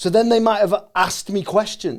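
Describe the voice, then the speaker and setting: In a Cheshire accent, a man speaks at a moderate pace with a high pitch and fairly even intonation. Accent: Chester English. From England, Chester. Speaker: comedian. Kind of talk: casual chat.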